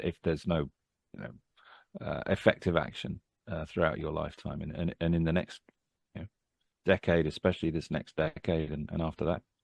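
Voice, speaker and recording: A man's very deep, low voice at a moderate pace with fairly even intonation, in a dry, close sound with no echo. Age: 60s. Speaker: climate organization leader. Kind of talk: video call discussion. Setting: video call. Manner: halting.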